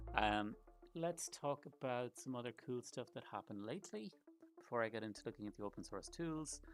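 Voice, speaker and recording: Over music in the background, a man with an Irish accent talks at a fairly quick pace and medium pitch with lively intonation. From Ireland. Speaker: startup founder and developer. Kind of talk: live stream walkthrough. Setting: livestream. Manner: casual, with frequent fillers.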